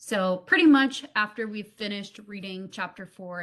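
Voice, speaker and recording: Here is a woman with an unremarkable speaking voice at a medium pitch. She talks at a moderate pace with ordinary pitch variation. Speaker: teacher. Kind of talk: online class lesson. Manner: casual, filler words.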